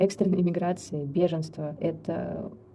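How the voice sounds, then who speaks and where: A woman talks at a moderate pace with a fairly low pitch. Her voice is somewhat breathy. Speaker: psychologist and death doula. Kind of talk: interview.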